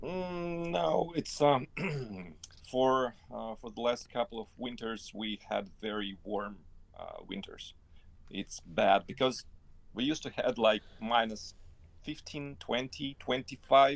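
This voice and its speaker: A man with a Russian accent, very slow pace, medium pitch, lively intonation and big swings in loudness. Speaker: interview guest. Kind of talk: casual interview. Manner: halting.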